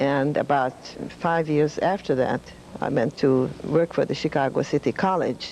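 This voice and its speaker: A woman's very deep, low voice in a Hungarian accent, fairly even in intonation, at a moderate pace, with noticeable background noise. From Hungary. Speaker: retired professor of humanities. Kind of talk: interview.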